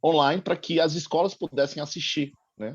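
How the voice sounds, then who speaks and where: Against a quiet background, a man speaks with a Bahian accent. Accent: Bahian Brazilian Portuguese. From Brazil, Bahia (Salvador). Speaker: school teacher and film festival organizer. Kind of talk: audience comment in online panel.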